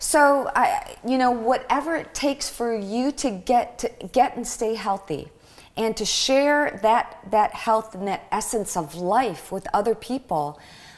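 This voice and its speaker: A normal speaking voice with an American accent, lively intonation and a fairly slow pace. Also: woman, fairly high pitch for a woman. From Michigan. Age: 50s. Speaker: podcast guest, health advocate. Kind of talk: casual interview.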